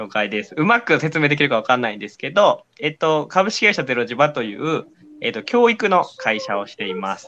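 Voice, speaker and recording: A man with a fairly high pitch talks at a fairly quick pace, his bright, sharp tone marked by big swings in loudness and very wide pitch swings. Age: 20s. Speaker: company executive and educator. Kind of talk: casual chat.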